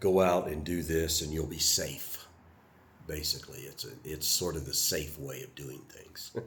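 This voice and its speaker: A man with an American accent speaks at a moderate pace in a very deep, low voice with vocal fry. His loudness swings widely while his pitch varies in an ordinary way. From US South. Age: 70s. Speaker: retired Air Force veteran vlogger. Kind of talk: personal reflection monologue. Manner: halting, many fillers.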